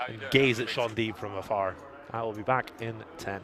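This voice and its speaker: A man's playful tone amid noticeable background noise. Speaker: poker commentator. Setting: commentary booth at a casino. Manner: playful, joking delivery.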